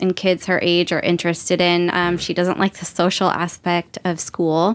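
A woman talks at a fairly slow pace. She has an ordinary speaking voice at a medium pitch. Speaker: guest, boudoir photography educator. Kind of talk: casual interview conversation.

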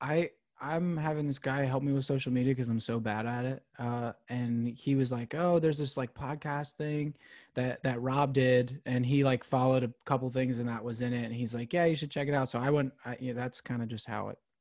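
On a very clean recording with a silent background, a man with an American accent and an ordinary speaking voice talks at a fairly quick pace, medium in pitch, his intonation fairly even. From Pennsylvania, West Chester near Philadelphia. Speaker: country singer-songwriter. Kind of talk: casual interview chat.

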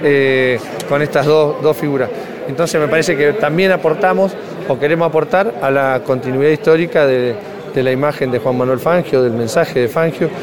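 Amid noticeable background noise and audible room echo, a man speaks at a moderate pace with fairly high pitch, ordinary pitch variation and very even loudness. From Azul, Buenos Aires province, Argentina. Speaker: provincial government official. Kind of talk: interview.

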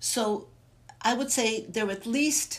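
A woman speaks in a somewhat breathy voice. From Germany, Bavaria. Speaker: arts center director. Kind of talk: interview.

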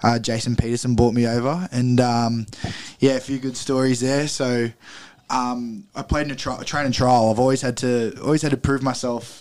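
Speaking in an Australian accent, a man keeps a monotone, flat intonation. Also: medium pitch for a man, moderate pace. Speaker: rugby league player. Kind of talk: interview.

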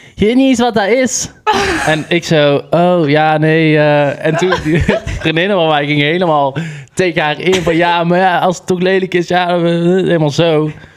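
Someone speaks at a fairly slow pace with ordinary pitch variation, over noticeable background noise. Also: man, high pitch for a man. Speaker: podcast co-host. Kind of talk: casual chat.

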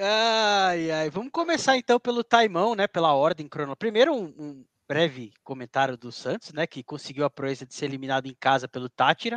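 A man speaks with hardly any pauses and very wide pitch swings. His loudness swings widely too. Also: fairly high pitch for a man, fairly quick pace. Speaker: football podcast host. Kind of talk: casual chat.

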